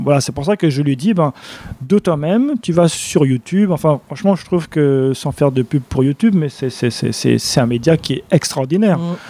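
Noticeable background noise sits behind a man's fairly high-pitched voice. He talks at a moderate pace with ordinary pitch variation. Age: 40s. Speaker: nutrition and wellbeing speaker. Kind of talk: casual interview.

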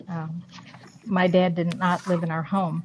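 Somewhat breathy, the woman speaks with an American accent. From New York State (Rochester area). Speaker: retired university administrator and educator. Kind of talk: interview, personal storytelling.

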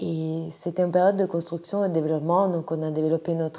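A woman speaks with an Italian accent in a very deep, low pitch. Her intonation is monotone and flat. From Italy (Rome). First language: Italian (speaking French). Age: 20s. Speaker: nonprofit director. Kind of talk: personal profile monologue. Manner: hesitant, many fillers.

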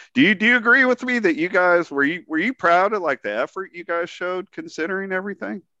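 A man speaks in a raised, projected voice at a high pitch, his bright, sharp tone racing along at a very fast pace with hardly any pauses, the sound dry and close with no echo. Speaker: podcast host. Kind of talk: casual interview.

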